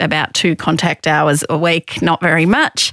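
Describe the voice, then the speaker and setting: Woman with an Australian accent, fairly low in pitch, monotone and flat, at a fairly slow pace in a dry, close sound with no echo. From Australia, Victoria. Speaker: sex discrimination commissioner, former lawyer. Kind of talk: interview.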